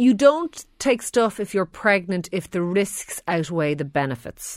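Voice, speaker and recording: The recording is very clean, with a silent background. A woman with an Irish accent speaks at a medium pitch. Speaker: doctor answering health questions. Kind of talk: radio health Q&A. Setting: radio studio.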